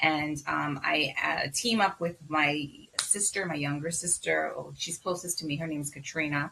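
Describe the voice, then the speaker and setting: Speaking at a moderate pace with a Bahamian accent, a woman uses a very deep, low pitch and fairly even intonation. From Bahamas. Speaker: physician. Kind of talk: interview.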